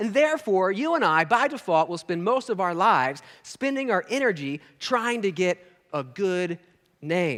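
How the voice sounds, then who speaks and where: A man with an American accent talks at a moderate pace with lively intonation. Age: 30s. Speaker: pastor. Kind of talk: sermon. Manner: conversational.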